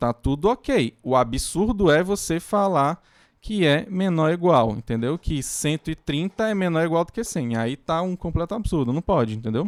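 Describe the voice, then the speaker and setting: A man with a high voice talks at a moderate pace with lively intonation, in a very clean, dry, close recording with a silent background and no echo. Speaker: university lecturer. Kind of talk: lecture. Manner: halting.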